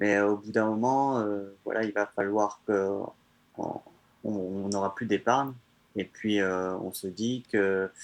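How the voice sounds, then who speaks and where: Very slowly, a man speaks in a fairly low pitch with a monotone, flat intonation. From France, countryside. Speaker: traveler. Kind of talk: interview. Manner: halting.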